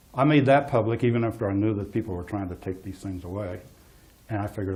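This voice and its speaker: Quiet and somewhat breathy, a man with a dark, mellow tone and fairly low pitch talks very fast with ordinary pitch variation. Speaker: geologist giving a talk. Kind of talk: public talk. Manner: hesitant.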